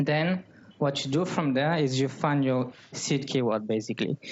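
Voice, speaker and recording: With a French accent, a man speaks at a moderate pace in a fairly high voice with fairly even intonation. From France (Paris). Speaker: growth marketer. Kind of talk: talk at a meetup. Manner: hesitant, with frequent fillers.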